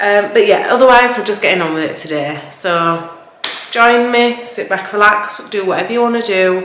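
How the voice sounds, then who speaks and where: A woman with a Yorkshire accent talks at a fairly slow pace and medium pitch, with ordinary pitch variation. Noticeable background noise and audible room echo are present. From Yorkshire, northern England. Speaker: cleaning vlogger. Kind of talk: casual voiceover narration of cleaning vlog. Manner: casual, chatty with fillers.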